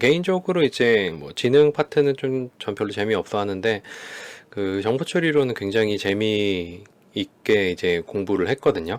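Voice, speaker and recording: Heard dry and close with no echo, a man with a fairly low voice speaks with lively intonation. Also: fairly slow pace. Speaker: psychology lecturer. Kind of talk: lecture. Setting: home studio recording. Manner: animated.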